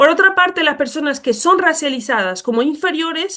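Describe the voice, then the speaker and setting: A woman's raised, projected voice, high in pitch, bright and sharp in tone, with very wide pitch swings. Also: quiet background. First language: not Spanish (speaking Spanish). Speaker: speaker on racism and education. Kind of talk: lecture. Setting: webinar. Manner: hesitant, with fillers.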